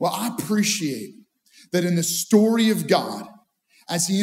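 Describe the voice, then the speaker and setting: A man's voice at a moderate pace with ordinary pitch variation. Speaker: pastor. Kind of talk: sermon. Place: studio. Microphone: headset.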